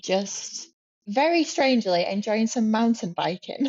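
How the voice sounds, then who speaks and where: This woman speaks with a British accent. Her pitch is fairly high. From UK. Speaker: newly qualified commercial pilot. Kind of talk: interview. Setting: video call from a hotel room.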